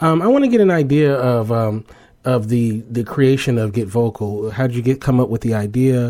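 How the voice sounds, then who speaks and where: The voice has a dark, mellow tone, moving at a moderate pace with ordinary pitch variation. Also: man, medium pitch for a man. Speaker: podcast host. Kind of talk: casual interview on a live podcast. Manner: laughs often.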